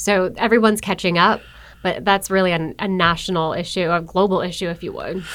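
A woman with an American accent, monotone, flat intonation and a fairly quick pace, on a very clean recording with a silent background. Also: medium pitch for a woman. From Buffalo, New York. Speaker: economic development marketer for a utility. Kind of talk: podcast interview. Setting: studio in a business innovation building.

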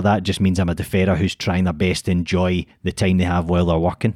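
A man with a Glasgow accent at a very fast pace, on a very clean recording with a silent background. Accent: Scottish (Glasgow). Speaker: podcast co-host. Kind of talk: casual chat.

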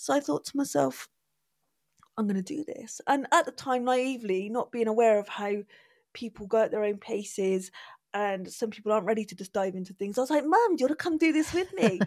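With a Bristol accent, a woman speaks in a fairly high voice with very wide pitch swings, the sound dry and close with no echo. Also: fairly quick pace. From England, Bristol. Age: 40s. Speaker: artist. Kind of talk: casual chat.

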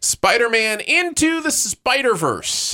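Dry and close with no echo, a man's voice moves at a very slow pace. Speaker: podcast host. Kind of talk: casual chat. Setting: remote call.

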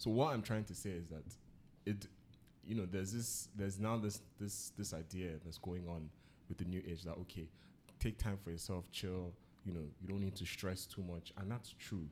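The speaker has a Nigerian accent and fairly even intonation. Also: man, very deep, low pitch for a man, moderate pace. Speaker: podcast host. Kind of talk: casual chat.

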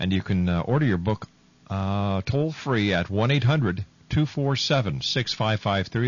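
A man's somewhat breathy voice rises and falls with lively intonation. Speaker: radio host. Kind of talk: radio talk show interview.

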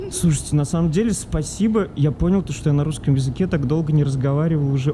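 Noticeable background noise accompanies a man whose pitch sits fairly high. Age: 30s. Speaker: journalist. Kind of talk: casual chat. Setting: in a car. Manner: animated.

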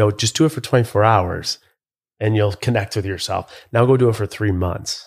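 A man with a Western New York accent speaks at a moderate pace with ordinary pitch variation. His voice is somewhat breathy, and the recording is very clean with a silent background. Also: fairly low pitch for a man. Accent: Western New York American. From western New York, US. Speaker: reality TV personality and business podcaster. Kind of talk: casual interview. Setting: live in-person recording.

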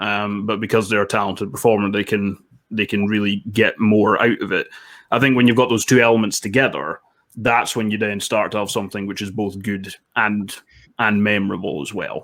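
With a Scottish accent, a man talks at a fairly quick pace in a fairly low pitch, his intonation fairly even. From Scotland, Dundee. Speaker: film critic. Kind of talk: casual chat.

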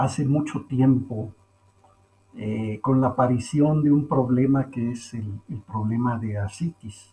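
Somewhat breathy, a man speaks in a medium pitch with a dark, mellow tone and ordinary pitch variation. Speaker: poultry science professor and researcher. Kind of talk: interview, expert explanation.

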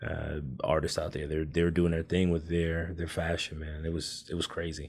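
A man speaks in a very deep, low voice with an American accent. His intonation is flat and monotone, at a moderate pace. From California, Oakland (Bay Area). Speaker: Navy veteran and beard-care entrepreneur. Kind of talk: casual chat.

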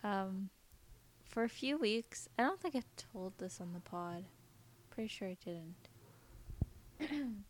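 Somewhat breathy speech with lively intonation, a very slow pace, and long, frequent pauses. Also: woman, medium pitch for a woman. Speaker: podcast host. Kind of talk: casual chat, then ghost story telling read aloud from a listener submission.

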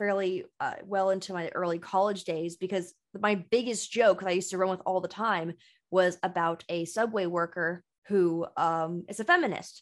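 Speaking with an American accent, a woman has a plain, everyday voice at medium pitch and ordinary pitch variation. She keeps a moderate pace against a quiet background. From US West Coast, San Francisco Bay Area. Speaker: comedian and social media creative director. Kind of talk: casual chat.

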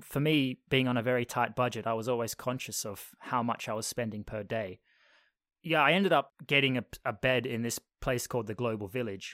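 A man speaks in a plain, everyday voice at a fairly quick pace, medium in pitch with ordinary pitch variation. The sound is dry and close, with no echo. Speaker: podcast host being interviewed. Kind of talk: casual chat. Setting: video call.

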